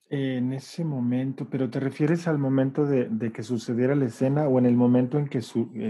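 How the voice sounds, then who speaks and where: With fairly even intonation and a medium pitch, the man keeps to a moderate pace. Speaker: theatre director. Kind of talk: interview. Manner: halting.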